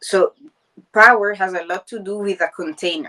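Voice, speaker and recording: Bright, sharp tone from a woman at a medium pitch, with ordinary pitch variation and a dry, close sound with no echo. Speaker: coach and trainer. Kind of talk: podcast discussion. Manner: animated.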